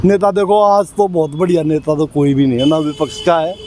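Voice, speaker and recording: A man talks with lively intonation and a moderate pace while noticeable background noise carries on. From Haryana. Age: 60s. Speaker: local resident interviewee. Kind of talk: street interview.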